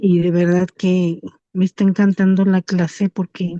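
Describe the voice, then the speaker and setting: A woman's dark, mellow tone, monotone and flat, at a very slow pace, with a dry, close sound, no echo and a quiet background. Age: 60s. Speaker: class participant. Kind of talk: comment in class discussion. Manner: halting.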